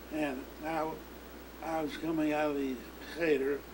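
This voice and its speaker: A man speaks with a fairly high pitch. Noticeable background noise runs behind him. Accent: American. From St. Louis, Missouri. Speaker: hardware store proprietor. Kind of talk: interview answer.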